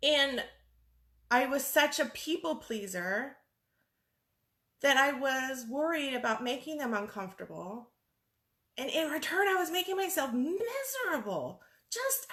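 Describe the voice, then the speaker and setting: Bright and sharp in tone, a woman speaks high and fairly slowly. Her intonation is lively, broken by long, frequent pauses. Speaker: life coach. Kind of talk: facebook live monologue. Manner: loud; halting.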